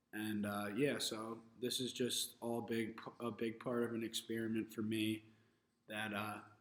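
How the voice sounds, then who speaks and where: In monotone, flat intonation, a man talks at a fairly slow pace and medium pitch. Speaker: vlogger and electrician. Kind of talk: casual monologue vlog. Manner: loose, rambling with fillers.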